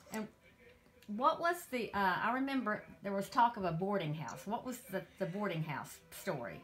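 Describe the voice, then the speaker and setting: A woman at medium pitch makes very wide pitch swings at a moderate pace, with noticeable background noise behind her. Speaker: interviewer, grandchild. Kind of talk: interview questions.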